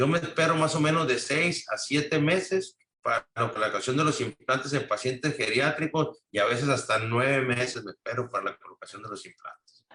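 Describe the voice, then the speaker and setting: With ordinary pitch variation, a man's fairly high voice moves at a moderate pace. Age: 60s. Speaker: implant dentist. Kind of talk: interview. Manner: halting.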